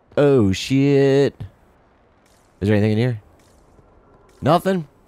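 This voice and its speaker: With an American accent, a man speaks fairly slowly in a dark, mellow tone at medium pitch and with lively intonation. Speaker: gaming commentator. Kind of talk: gameplay commentary. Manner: casual, conversational.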